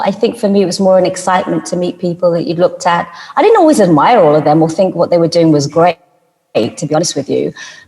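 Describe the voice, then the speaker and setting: A woman speaks at a medium pitch with a British accent. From United Kingdom. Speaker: journalist and TV and radio presenter; voice-over artist. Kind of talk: interview answer.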